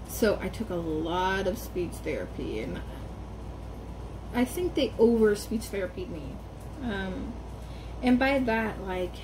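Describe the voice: A woman at a fairly slow pace with long, frequent pauses, over noticeable background noise.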